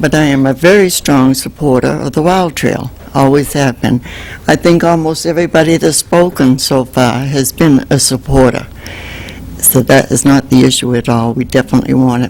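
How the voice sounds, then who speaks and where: Noticeable background noise accompanies a woman whose voice is very deep and low in pitch. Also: ordinary pitch variation, moderate pace. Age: 80s+. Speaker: member of the public. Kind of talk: public comment at council meeting. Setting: city council meeting.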